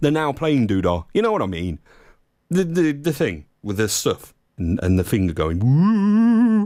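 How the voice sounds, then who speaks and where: Speaking at a moderate pace with an East Midlands accent, a man uses very wide pitch swings, recorded very cleanly against a silent background. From Leicester, English Midlands. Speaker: internet radio DJ. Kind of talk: live radio DJ chat. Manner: animated.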